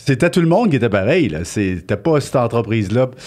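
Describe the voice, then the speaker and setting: A man talks at a medium pitch and a moderate pace. His is an unremarkable speaking voice. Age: 60s. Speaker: business owner. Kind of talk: interview. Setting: filmed studio interview.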